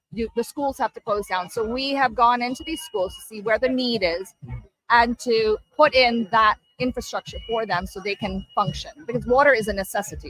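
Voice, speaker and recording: Music plays in the background while a woman speaks at a moderate pace with a fairly high pitch and ordinary pitch variation. The sound is dry and close with no echo. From Hong Kong. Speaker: service club leader. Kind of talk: interview.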